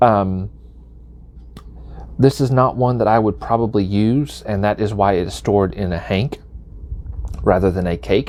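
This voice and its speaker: A man's fairly low voice with a Southern US accent, lively intonation, a moderate pace and long, frequent pauses. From US South. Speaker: knitting video creator. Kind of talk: tutorial. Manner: casual with frequent fillers.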